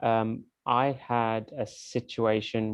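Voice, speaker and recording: This man has a British accent and a fairly low pitch. His intonation stays fairly even. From UK. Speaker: event moderator. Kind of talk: online panel discussion.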